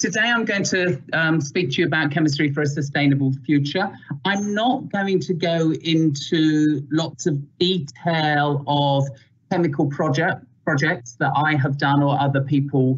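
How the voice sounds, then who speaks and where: Against a quiet background, a man speaks at a fairly slow pace, somewhat breathy, with very even loudness and ordinary pitch variation. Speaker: guest lecturer. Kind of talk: lecture. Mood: friendly, amused. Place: home room. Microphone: video call.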